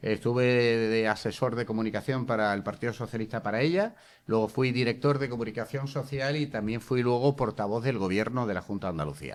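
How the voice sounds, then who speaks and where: Speaking at a fairly quick pace with hardly any pauses, this voice shows ordinary pitch variation. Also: man, medium pitch for a man. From Seville, Spain. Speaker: journalist and former government spokesman. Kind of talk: interview. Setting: school venue with students. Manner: animated.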